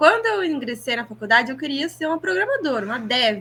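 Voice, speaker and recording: A woman speaks in a raised, projected voice with a bright, sharp tone. Her pitch is high and swings very widely. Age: 20s. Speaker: podcast co-host, product manager. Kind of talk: casual chat.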